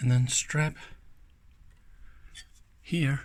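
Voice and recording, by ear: At a fairly slow pace, a man speaks with a fairly bright tone and a slightly husky edge.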